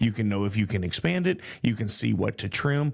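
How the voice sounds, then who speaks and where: Talking in a Texan accent, a man keeps a moderate pace. His pitch sits in the medium range but swings very widely. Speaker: podcast host. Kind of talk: interview question.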